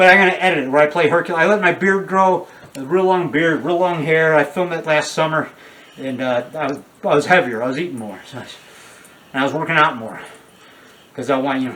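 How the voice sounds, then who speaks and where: Through noticeable background noise, a man talks at a very fast pace in a fairly high pitch with ordinary pitch variation, broken by long, frequent pauses. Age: 60s. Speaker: independent horror filmmaker. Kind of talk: interview. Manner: halting, many fillers and restarts; talkative, rambling.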